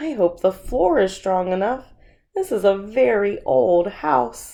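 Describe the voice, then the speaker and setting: In a raspy, put-on character voice, a woman talks at a fairly slow pace with a medium pitch that moves in very wide swings. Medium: read story.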